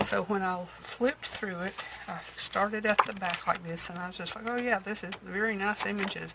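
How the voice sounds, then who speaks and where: A woman with a medium pitch speaks against noticeable background noise. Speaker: thrift haul vlogger and antique shop owner. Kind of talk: show-and-tell haul video. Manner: hesitant, many fillers.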